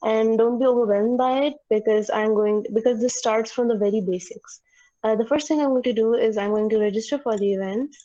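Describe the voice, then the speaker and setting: This voice has a dark, mellow tone, fairly even intonation and very even loudness. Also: woman, fairly high pitch for a woman, fairly quick pace. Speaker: student tutor. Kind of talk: online tutorial. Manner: fast; halting.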